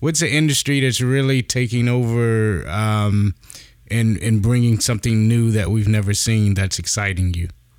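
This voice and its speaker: A man's medium-pitched voice, an ordinary speaking voice, with ordinary pitch variation and very even loudness. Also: moderate pace. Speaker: podcast host.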